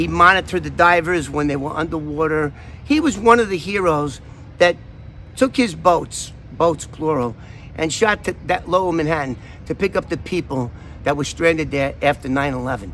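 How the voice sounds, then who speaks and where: Speaking with a New York accent, a man has a bright, sharp tone, a fairly high pitch, ordinary pitch variation and a moderate pace. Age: 60s. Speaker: vlogger, former FBI informant. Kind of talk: casual vlog talk. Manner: animated.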